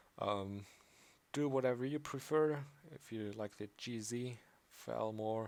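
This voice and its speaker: This man talks at a fairly slow pace with a slight German accent. His pitch is medium, and he leaves long, frequent pauses. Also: ordinary pitch variation. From Austria. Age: young. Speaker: programming tutorial maker. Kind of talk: tutorial. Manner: casual, hesitant with fillers.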